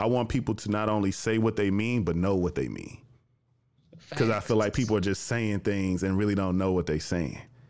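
A man delivers his words fairly quickly, his fairly low pitch showing ordinary variation. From US South, Jackson, Tennessee. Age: 20s. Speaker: podcast host and producer. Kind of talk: casual interview chat. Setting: remote call.

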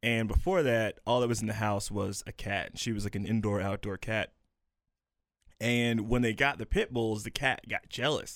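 A man at a medium pitch and moderate pace speaks with fairly even intonation, an ordinary speaking voice. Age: 20s. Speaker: podcast co-host. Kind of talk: show outro and plugs; casual chat. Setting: studio.

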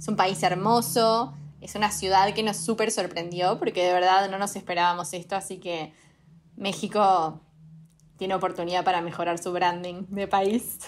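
In an ordinary speaking voice, a woman at medium pitch talks at a moderate pace with fairly even intonation, recorded very cleanly against a silent background. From Uruguay. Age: 20s. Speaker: fashion startup co-founder. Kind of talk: casual interview.

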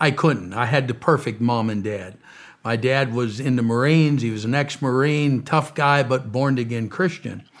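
A man with an ordinary speaking voice in an American accent, medium in pitch with ordinary pitch variation, at a moderate pace. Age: 60s. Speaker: preacher and humanitarian founder. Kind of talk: interview testimony. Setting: studio.

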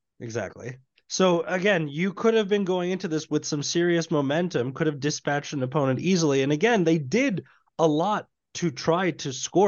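A man with a plain, everyday voice, lively intonation and a moderate pace. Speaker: podcast host. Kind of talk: casual sports podcast chat. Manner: annoyed, ranting.

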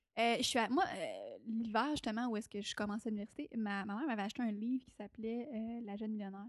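At a very fast pace, a woman speaks in a fairly high voice with ordinary pitch variation and big swings in loudness. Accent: Quebec. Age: 20s. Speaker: entrepreneur and stage talk show host. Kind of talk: casual interview. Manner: animated.

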